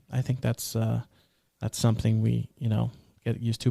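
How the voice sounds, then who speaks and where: A man's dark, mellow tone at a moderate pace, in a dry, close sound with no echo and a very clean recording with a silent background. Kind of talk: natural speech.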